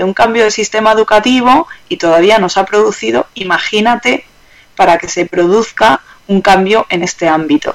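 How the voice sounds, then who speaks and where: Lively intonation from a woman with a fairly high voice, at a moderate pace, amid noticeable background noise. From Germany. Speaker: economic consultant. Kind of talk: interview.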